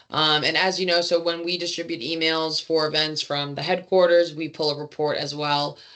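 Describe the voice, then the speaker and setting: A woman's very deep, low voice, fairly quick and monotone, flat in intonation, over noticeable background noise. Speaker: staff trainer presenting to chapter leaders. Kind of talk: online training presentation. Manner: fast.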